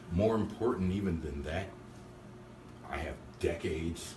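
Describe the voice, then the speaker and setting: A man with an American accent talks in a very deep, low pitch with vocal fry and ordinary pitch variation, with audible room echo around him. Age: 60s. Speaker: drummer. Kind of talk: casual interview.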